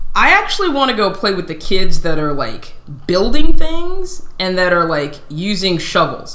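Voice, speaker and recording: Over noticeable background noise, a woman with an American accent talks at a moderate pace in a medium pitch, her pitch swinging very widely. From Southern California. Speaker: tech industry professional, former pro basketball player. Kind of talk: interview, personal storytelling. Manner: casual, hesitant with fillers.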